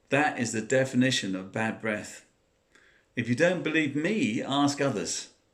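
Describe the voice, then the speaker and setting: A man's medium-pitched voice in a southern English accent, fairly slow in pace, with lively intonation. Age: 60s. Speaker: former smoker sharing advice. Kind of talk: personal talk to camera.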